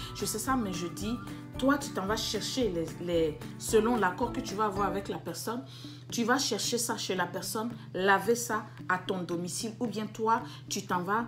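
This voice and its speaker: With music in the background and audible room echo, a woman of medium pitch speaks at a fairly slow pace with very wide pitch swings. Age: 40s. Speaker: business YouTuber. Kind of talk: casual advice vlog. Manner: halting with fillers.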